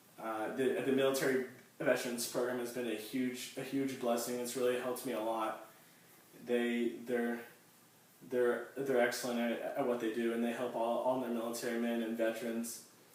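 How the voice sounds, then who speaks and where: Medium-pitched man at a moderate pace, monotone and flat, with audible room echo and noticeable background noise. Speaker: university student and soldier. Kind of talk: class speech. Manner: halting, with repetitions and blocks.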